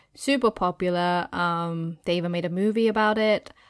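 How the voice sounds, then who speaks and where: Recorded very cleanly with a silent background, a woman uses an ordinary speaking voice of medium pitch, talking at a fairly quick pace with fairly even intonation. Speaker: podcast host. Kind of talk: casual chat.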